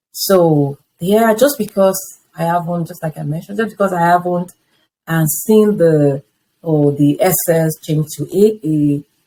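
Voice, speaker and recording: A woman with a Nigerian accent talks at a fairly slow pace in a fairly low pitch, her tone dark and mellow. Her pitch varies in an ordinary way. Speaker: interviewee sharing life story. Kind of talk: testimony.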